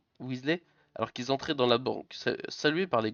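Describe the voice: The recording is plain reading aloud, and its pitch varies in an ordinary way.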